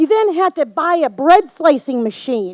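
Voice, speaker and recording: A woman talks at a fairly slow pace with an Upper Midwest accent. Her intonation is lively. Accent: Upper Midwest American. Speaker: storyteller. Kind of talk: live storytelling performance.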